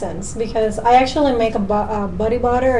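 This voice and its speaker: The intonation stays fairly even, with audible room echo and noticeable background noise. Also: woman. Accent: Puerto Rican. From Puerto Rico. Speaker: natural cosmetics maker. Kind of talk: casual chat.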